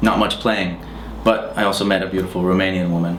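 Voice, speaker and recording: Through audible room echo and noticeable background noise, a man speaks with an American accent. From US, Pennsylvania. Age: 30s. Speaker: musician. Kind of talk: interview answers. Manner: hesitant, many fillers.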